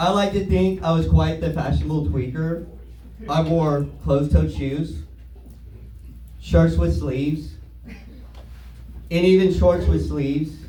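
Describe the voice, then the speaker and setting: A man speaks at a very slow pace, with long, frequent pauses. The room echo is audible, and the background noise is noticeable. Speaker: stand-up comedian. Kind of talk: stand-up. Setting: stage with audience.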